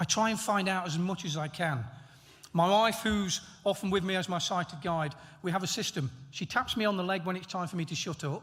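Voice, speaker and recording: At a fairly quick pace, a man with an East Midlands accent speaks at a high pitch with ordinary pitch variation. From England, Nottingham. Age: 60s. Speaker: honorary graduate, former elite athlete. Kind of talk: graduation acceptance speech.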